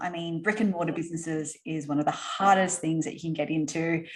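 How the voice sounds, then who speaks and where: A woman in an Australian accent speaks at a fairly low pitch and a moderate pace, with ordinary pitch variation. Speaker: entrepreneur. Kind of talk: interview. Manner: casual, filler-heavy.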